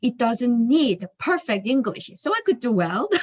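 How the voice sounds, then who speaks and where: A woman speaks in a high voice with a non-native accent, her pitch swinging very widely, in a dry, close recording with no echo. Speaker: finance office worker, class participant. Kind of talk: class discussion, personal story. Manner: hesitant, many fillers.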